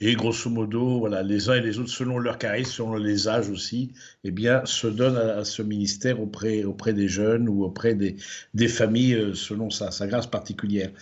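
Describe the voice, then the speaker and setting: A man speaks at a moderate pace in a fairly low pitch. His intonation is flat and monotone, and room echo can be heard. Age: 60s. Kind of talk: lecture. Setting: livestreamed conference. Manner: hesitant, many fillers and repetitions.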